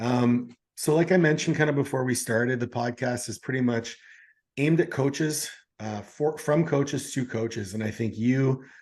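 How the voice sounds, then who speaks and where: A man's normal speaking voice at medium pitch, with a moderate pace and ordinary pitch variation. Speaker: podcast host, coach. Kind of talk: podcast interview questions.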